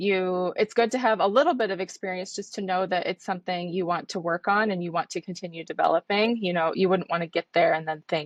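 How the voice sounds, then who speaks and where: Delivered at a fairly quick pace with fairly even intonation, an ordinary speaking voice with an American accent comes through in a dry, close sound with no echo. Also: woman, quiet background. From United States. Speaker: trainee clinical scientist. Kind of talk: interview.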